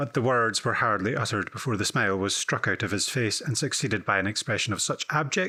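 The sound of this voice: This is an unforced reading voice. It carries ordinary pitch variation.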